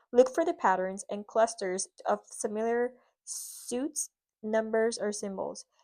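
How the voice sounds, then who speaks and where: Against a quiet background, a woman with a dark, mellow tone speaks at a fairly slow pace, showing ordinary pitch variation and big swings in loudness. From Puerto Rico. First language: Spanish. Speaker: lifestyle vlogger. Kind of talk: tutorial. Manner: halting.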